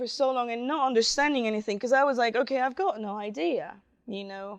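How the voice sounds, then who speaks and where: A woman with a Spanish accent speaks at a high pitch. Her intonation is lively and her pace moderate. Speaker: DevOps specialist. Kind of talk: conference talk. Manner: halting.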